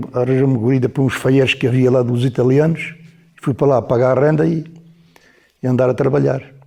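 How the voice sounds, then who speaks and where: The man's tone is dark and mellow. There is a somewhat breathy quality to his voice. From Alentejo, Portugal (Mértola, near the Spanish border). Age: 80s+. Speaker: former miner. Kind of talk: oral history interview answer.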